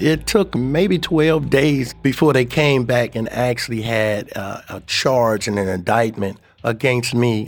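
A man with an American accent talks at a fairly slow pace with hardly any pauses. His medium-pitched voice shows ordinary pitch variation, with music in the background. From Cleveland, Ohio. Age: 60s. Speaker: exonerated former death row prisoner. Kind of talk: personal testimony.

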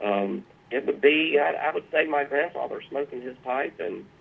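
A man with a Southern US accent at a moderate pace. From South Carolina. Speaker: artist and pipe restorer. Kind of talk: interview. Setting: phone call.

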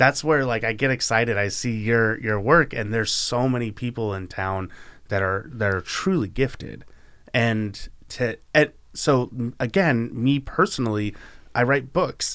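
Speaking fairly slowly with an American accent, a man has an unremarkable speaking voice at medium pitch and ordinary pitch variation. The recording is very clean with a silent background. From Oregon, Canby. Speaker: podcast host. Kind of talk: casual interview chat.

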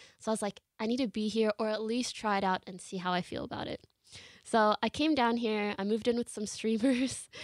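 A woman speaks in a normal speaking voice, fairly high in pitch, at a fairly quick pace with fairly even intonation. The recording is very clean and dry, with a close sound, no echo and a silent background. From Canada. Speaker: live streamer. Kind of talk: interview. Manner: casual.

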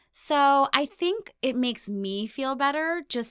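A woman with an American accent talks at a fairly slow pace with lively intonation, in an unremarkable speaking voice. The sound is dry and close with no echo, on a very clean recording with a silent background. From US, Ohio and abroad. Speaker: self-love content creator with chronic illness. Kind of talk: interview.

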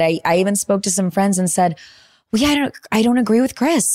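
An ordinary speaking voice from a woman, with lively intonation at a fairly quick pace. The recording is very clean, with a silent background. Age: 30s. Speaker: podcast co-host, entertainment journalist. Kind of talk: casual chat. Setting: home office.

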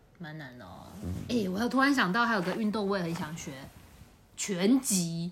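Lively intonation from a woman at medium pitch, moderate pace and big swings in loudness, with audible room echo. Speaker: podcast co-host. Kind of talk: casual chat. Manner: slightly slurred.

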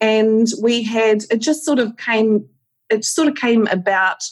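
The speaker is a woman. She has a New Zealand accent. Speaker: aesthetic nurse and educator. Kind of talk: casual interview chat. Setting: video call.

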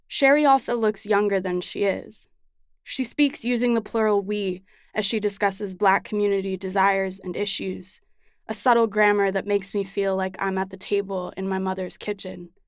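A woman speaks in an ordinary speaking voice at a medium pitch and a moderate pace. Her intonation is fairly even, and the recording is very clean with a silent background. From Chicago, US Midwest. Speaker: writer. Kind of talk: narrated essay.

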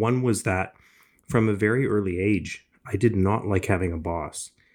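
A man with a Canadian accent and a normal speaking voice at a fairly low pitch, on a very clean recording with a silent background. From Canada, Ontario (Scarborough, Toronto). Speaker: entrepreneur, business school director. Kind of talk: interview.

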